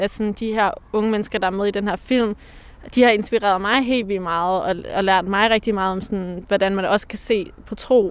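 The woman has an unremarkable speaking voice at medium pitch. She talks at a moderate pace with fairly even intonation. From Denmark, Pakistani Punjabi heritage. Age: young. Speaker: poet, artist and psychologist. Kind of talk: interview conversation. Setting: outdoors in a cemetery.

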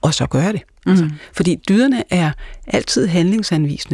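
At a moderate pace, a woman speaks in a fairly low, somewhat breathy voice with a dark, mellow tone and ordinary pitch variation, the sound dry and close with no echo. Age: 50s. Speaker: pastor and Kierkegaard scholar. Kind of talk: casual chat. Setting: studio.

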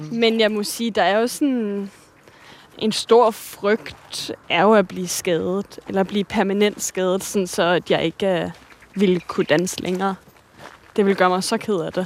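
There is noticeable background noise behind this woman. She speaks fairly slowly at a medium pitch with fairly even intonation. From Denmark, Virum north of Copenhagen. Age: 20s. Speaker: ballet dancer. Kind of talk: casual conversation. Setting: outdoors, walking.

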